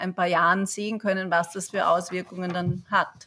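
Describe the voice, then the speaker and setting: Her tone comes out bright and sharp. The woman keeps a moderate pace. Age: 40s. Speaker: yoga teacher, parent. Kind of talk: casual chat. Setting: online call from home.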